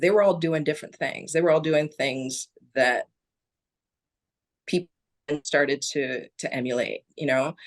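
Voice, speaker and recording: The voice moves at a fairly slow pace with ordinary pitch variation. The sound is dry and close, with no echo. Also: woman. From Barbados. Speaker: nature photographer. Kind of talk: interview answer.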